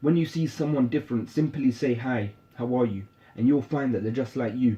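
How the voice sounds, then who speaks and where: A man with a British accent talks fairly quickly at a medium pitch. His voice is somewhat breathy, with ordinary pitch variation. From British, raised in London. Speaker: spoken word poet. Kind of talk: spoken word poetry.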